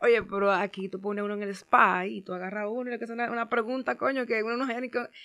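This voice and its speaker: On a very clean recording with a silent background, a woman with a fairly high pitch and a bright, sharp tone talks at a very fast pace with hardly any pauses and fairly even intonation. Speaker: social media personality. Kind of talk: casual interview.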